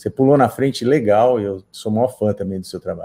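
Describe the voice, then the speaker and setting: Ordinary pitch variation in a man's dark, mellow tone. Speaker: guitarist. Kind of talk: interview. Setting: live stream.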